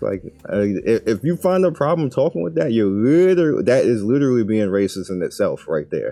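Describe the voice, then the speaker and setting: A man with a Brooklyn accent at a fairly quick pace, in a very clean recording with a silent background. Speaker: YouTuber and streamer. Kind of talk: casual.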